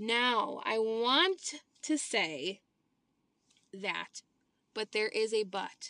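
With an American accent, a woman speaks at a very slow pace with long, frequent pauses, her fairly high pitch, bright, sharp tone and lively intonation standing out. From Illinois, US Midwest. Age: 20s. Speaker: podcast host. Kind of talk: casual monologue.

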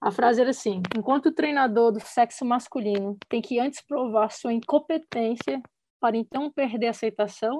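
Dry and close with no echo, this clip has a woman in an unremarkable speaking voice. She talks at a fairly quick pace with fairly high pitch and ordinary pitch variation. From Brasília, Brazil. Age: 30s. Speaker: football player and coach. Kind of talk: casual chat.

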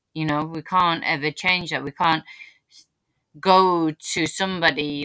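In a northern English accent, a woman with a very deep, low pitch speaks at a fairly slow pace with fairly even intonation and a bright, sharp tone. The recording is very clean and dry, close with no echo, against a silent background. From northern England. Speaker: podcast host. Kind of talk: casual chat.

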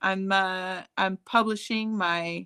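An American accent with a bright, sharp tone on a very clean recording with a silent background. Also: woman. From Chicago, US Midwest. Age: 30s. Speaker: writer and blogger. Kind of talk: casual chat.

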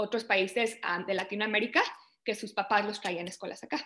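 This woman's fairly high voice has a bright, sharp tone. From Canada (born in Mexico, moved at age 4). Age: 20s. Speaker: project manager in cybersecurity. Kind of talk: interview.

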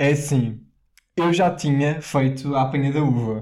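A man with a European Portuguese accent, fairly high in pitch, with a dark, mellow tone, ordinary pitch variation and a fairly slow pace. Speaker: podcast co-host. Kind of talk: casual chat. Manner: animated.

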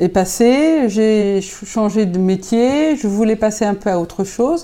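A woman talks in a dark, mellow tone, her pitch moving with ordinary variation. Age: 50s. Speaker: cosmetics company founder. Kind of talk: interview. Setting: company factory.

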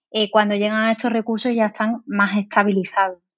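The voice belongs to a woman. It rests at a medium pitch. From Spain, Seville. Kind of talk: interview.

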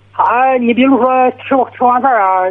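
This man speaks at an extremely high pitch. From Shandong, Liaocheng. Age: 40s. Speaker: farmer and migrant worker, caller. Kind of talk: phone-in call. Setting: phone call. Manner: stammering.

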